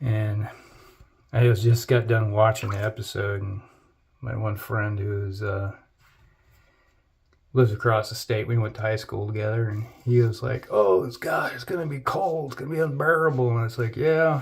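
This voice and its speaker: In a very clean recording with a silent background, a man with an American accent speaks in a somewhat breathy voice. His pitch varies in an ordinary way, and he leaves long, frequent pauses. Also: medium pitch for a man, moderate pace. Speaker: wet shaving YouTuber. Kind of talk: casual chat. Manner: rambling, conversational with fillers.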